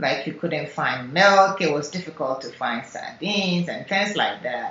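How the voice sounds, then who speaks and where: With noticeable background noise behind her, a woman with a Ghanaian accent speaks at a fairly low pitch. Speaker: software engineer. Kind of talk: oral history interview answer.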